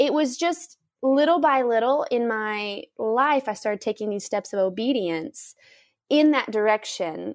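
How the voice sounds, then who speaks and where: With an ordinary speaking voice, a woman of fairly high pitch talks at a fairly slow pace with lively intonation, in a dry, close sound with no echo. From US South. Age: 30s. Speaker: missionary. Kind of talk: interview. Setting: remote call from home.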